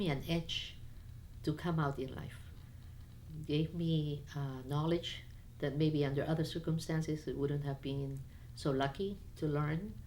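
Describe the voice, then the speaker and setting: The speech moves at a fairly slow pace with fairly even intonation, and audible room echo can be heard. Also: woman. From Peru, Lima, raised by Chinese (Cantonese) parents. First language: Spanish (also Chinese). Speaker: immigrant sharing life story. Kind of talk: personal life story interview. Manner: casual with hesitations and fillers.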